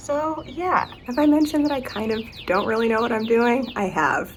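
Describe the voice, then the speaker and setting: A woman at a moderate pace, over noticeable background noise. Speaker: gardening vlogger. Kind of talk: casual vlog talk.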